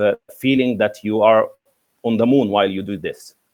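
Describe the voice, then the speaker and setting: This man's voice sits at a medium pitch, and his intonation stays fairly even. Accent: Egyptian. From Egypt. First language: Arabic. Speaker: English teacher. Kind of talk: interview. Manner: halting, many fillers.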